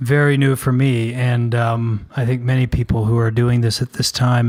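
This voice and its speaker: A somewhat breathy male voice with monotone, flat intonation. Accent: American. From US South. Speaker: podcast co-host. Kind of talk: casual podcast intro chat.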